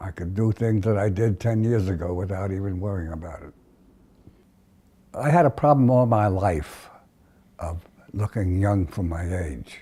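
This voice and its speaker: Speaking with an American accent, a man has a fairly low, somewhat breathy voice with a dark, mellow tone. He keeps a moderate pace with long, frequent pauses and ordinary pitch variation. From United States. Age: 80s+. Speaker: centenarian interviewee. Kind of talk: oral history interview. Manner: halting, frequent hesitations.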